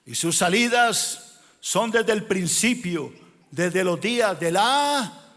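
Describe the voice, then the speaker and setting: The speech has lively intonation, and audible room echo can be heard. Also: man. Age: 60s. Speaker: pastor. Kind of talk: sermon. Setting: church.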